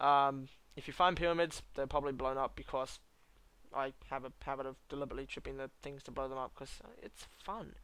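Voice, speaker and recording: A fairly high male voice, bright and sharp in tone, at a fairly quick pace with fairly even intonation and big swings in loudness. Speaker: gaming YouTuber. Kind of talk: game review commentary. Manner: fast.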